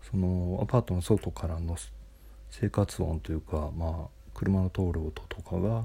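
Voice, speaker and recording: A dark, mellow, somewhat breathy voice at a fairly slow pace, with very wide pitch swings and big swings in loudness. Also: man, very deep, low pitch for a man. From Japan, Nagoya. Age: 40s. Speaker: podcaster. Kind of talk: solo monologue. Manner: halting, many fillers.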